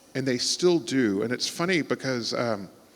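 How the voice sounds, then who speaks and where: Speaking with an American accent, this man has a medium pitch. His intonation is lively and his pace fairly slow. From Texas, Houston. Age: 40s. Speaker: writer. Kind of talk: onstage conversation.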